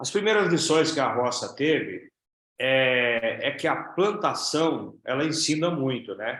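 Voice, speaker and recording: Here a man uses a plain, everyday voice with a fairly high pitch. He goes at a fairly slow pace, with ordinary pitch variation. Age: 60s. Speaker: network marketing business leader. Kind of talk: interview.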